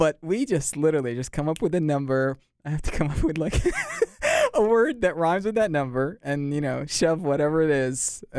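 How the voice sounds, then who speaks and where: A man with an American accent, fairly high-pitched for a man, talking at a very fast pace with lively intonation. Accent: sounds American. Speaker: podcast host. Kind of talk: casual chat. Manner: halting, many restarts.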